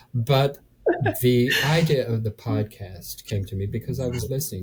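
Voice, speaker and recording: Music plays in the background. Over it, a man speaks with ordinary pitch variation. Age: 70s. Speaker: real estate investor. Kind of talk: interview answer. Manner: hesitant, halting.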